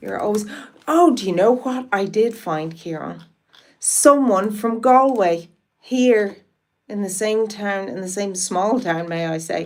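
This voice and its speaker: A woman with an Irish accent talks at a fairly slow pace and a medium pitch. Her intonation is lively, with big swings in loudness. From Ireland, Wicklow. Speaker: live streamer. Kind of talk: casual live-stream chat.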